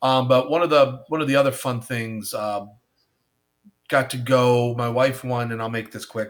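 In an ordinary speaking voice, a man talks at a fairly slow pace and a medium pitch. The recording is very clean, with a silent background. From western New York, near Buffalo. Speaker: craft beer educator and consultant. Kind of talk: casual chat.

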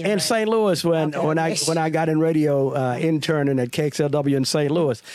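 Noticeable background noise runs under this recording. A man speaks in a fairly high pitch. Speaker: radio personality and pastor. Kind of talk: casual storytelling.

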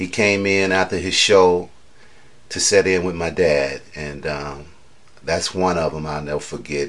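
In an American accent, a man talks at a fairly slow pace. His pitch is very deep and low, and his intonation fairly even. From Chicago, US. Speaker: blues guitarist. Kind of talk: interview. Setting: at home.

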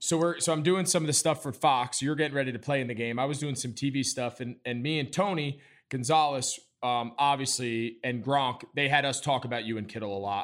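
A man's plain, everyday voice with an American accent, medium in pitch, fairly quick, with ordinary pitch variation. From New York suburbs. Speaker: podcast host, former NFL tight end. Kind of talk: casual interview.

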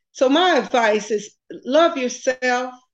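Very slow speech from a woman with an American accent, fairly high pitch, and very wide pitch swings. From US South (Texas / Tuskegee, Alabama). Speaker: business executive and nonprofit founder. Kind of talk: interview.

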